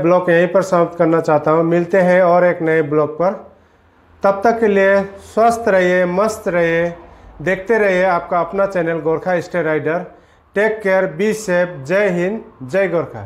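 A man is speaking at a fairly slow pace. His intonation stays fairly even. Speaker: vlogger reviewing a mic. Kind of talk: casual vlog chat. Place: home room. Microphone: lapel.

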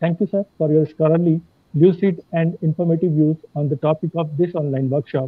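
Over a quiet background, a man speaks fairly quickly at a fairly high pitch, his intonation fairly even and the sound dry with no echo. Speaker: law faculty member. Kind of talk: vote of thanks. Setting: video call. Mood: polite, respectful, formal. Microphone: earbuds.

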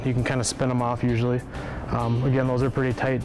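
Over clear music in the background, a man talks at a very fast pace in a monotone with flat intonation. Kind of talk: tutorial. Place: workshop.

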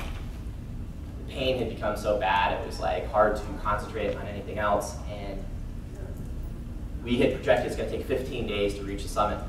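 With noticeable background noise and audible room echo, a man talks at a moderate pace while his loudness swings widely. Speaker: conference speaker. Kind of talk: motivational talk. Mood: earnest, recounting hardship. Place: hall.

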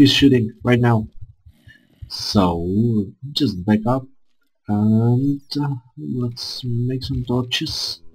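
A man at a medium pitch, talking very slowly over background music. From Czech Republic. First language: Czech. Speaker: gaming YouTuber. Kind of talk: gameplay commentary. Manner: halting, many filler sounds.

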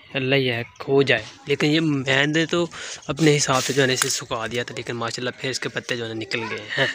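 Intonation stays fairly even over light background noise. The sound is dry, with no echo. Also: man. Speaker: village vlogger. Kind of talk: casual vlog chat. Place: street. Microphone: phone near.

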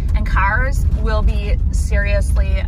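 A woman's dry voice with no echo, set against loud background noise. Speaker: vlogger heading to a barn sale. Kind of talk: casual vlog chat. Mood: excited, a bit anxious. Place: car. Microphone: phone near.

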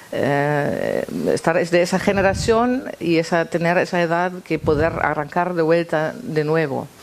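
A woman's ordinary speaking voice, fairly low in pitch, at a fairly slow pace with ordinary pitch variation and very even loudness, over light background noise. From East Berlin, Germany. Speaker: guitarist; guest. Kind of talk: panel discussion and guitar performance. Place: stage.

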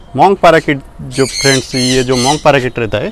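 A man's fairly slow speech with ordinary pitch variation, a dry sound with no echo and light background noise. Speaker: bird breeder or seller. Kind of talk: informational vlog talk. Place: farm. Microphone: lapel.

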